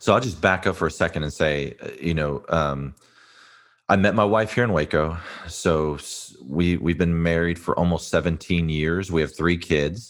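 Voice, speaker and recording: With a slight Texas accent, a man speaks at a moderate pace in a very deep, low pitch with ordinary pitch variation. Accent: slight Texas twang. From South Texas. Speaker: pastor and author. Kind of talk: interview.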